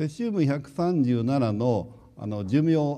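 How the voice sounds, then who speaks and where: A man's dark, mellow tone moves through very wide pitch swings at a very slow pace, with audible room echo. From Japan, Hiroshima. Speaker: nuclear engineering professor. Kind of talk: lecture.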